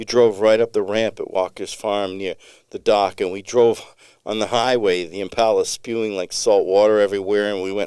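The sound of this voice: The clip features an unforced reading voice. That is how the speaker comes across throughout.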